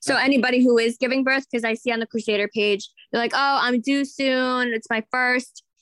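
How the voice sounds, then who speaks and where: A woman talks at a fairly quick pace with hardly any pauses, her high voice held in monotone, flat intonation. The sound is dry and close, with no echo. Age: 30s. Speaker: podcast co-host. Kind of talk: casual chat.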